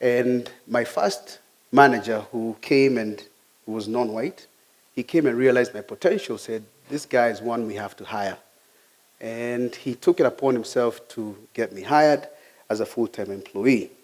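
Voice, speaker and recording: A man with a Kenyan accent at medium pitch, moderate pace, ordinary pitch variation and big swings in loudness. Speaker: IT technician giving a talk. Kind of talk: personal talk.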